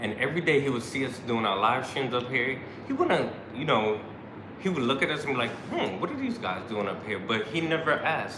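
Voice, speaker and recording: A man with a New York accent speaks fairly quickly with lively intonation, amid noticeable background noise and audible room echo. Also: medium pitch for a man. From New York City, Brooklyn. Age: 40s. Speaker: YouTube travel vlogger. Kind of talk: casual live stream chat.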